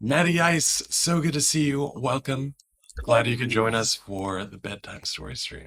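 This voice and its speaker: Quiet and fairly slow, a man with a medium pitch speaks with lively intonation. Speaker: streamer. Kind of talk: reading aloud; casual chat. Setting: livestream.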